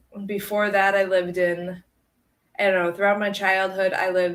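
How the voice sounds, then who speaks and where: A woman of medium pitch speaks with a Midwestern American accent. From northern Illinois. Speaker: livestream co-host filling in. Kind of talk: casual livestream chat reading comments. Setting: live video stream. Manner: animated.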